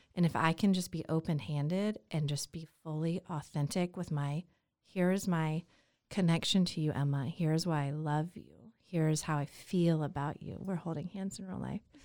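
On a very clean recording with a silent background, a woman with an American accent speaks at a moderate pace, her fairly low pitch carrying a dark, mellow tone and fairly even intonation. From Atlanta, Georgia (US South). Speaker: podcast guest, single mother. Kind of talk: casual chat.

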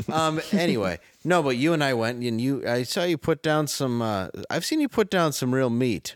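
In a very clean recording with a silent background and a dry, close sound with no echo, a man with an American accent speaks at a moderate pace in a fairly high pitch, using lively intonation and an ordinary speaking voice. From Detroit, Michigan. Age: 40s. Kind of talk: comedic news show banter.

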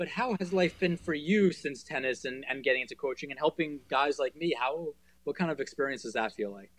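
A man uses an ordinary speaking voice with fairly high pitch and ordinary pitch variation. He talks at a fairly quick pace. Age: 20s. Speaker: tennis player and podcast co-host. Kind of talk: casual interview chat.

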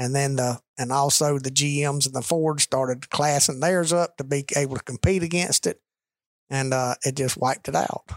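A man with a Southern US accent speaks at a moderate pace, his pitch fairly high and his intonation fairly even. The sound is dry and close, with no echo. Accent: Southern US (Georgia). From US South, Rome, Georgia. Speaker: business executive and cattle farmer. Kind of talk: casual chat. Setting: office.

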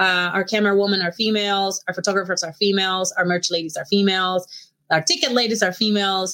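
A woman talks at a very fast pace in a Mexican accent, with a bright, sharp tone. She leaves hardly any pauses. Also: medium pitch for a woman, fairly even intonation. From Mexico. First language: Spanish. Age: 30s. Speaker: professional wrestler. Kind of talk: casual interview.

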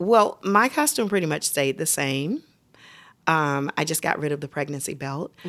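A woman's very deep, low voice with lively intonation at a moderate pace, in a very clean recording with a silent background. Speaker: Broadway actress and mom. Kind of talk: casual chat. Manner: loud.

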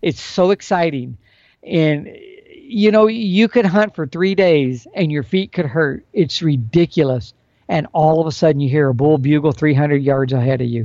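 An unremarkable speaking voice belongs to a man who talks at a moderate pace in a fairly high pitch with lively intonation. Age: 60s. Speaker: elk hunting expert. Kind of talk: casual interview. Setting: remote call.

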